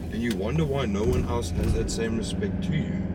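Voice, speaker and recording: Noticeable background noise runs through the clip. Audible room echo is present too. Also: man. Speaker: fitness coach and vlogger. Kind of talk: casual vlog monologue. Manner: animated; passionate.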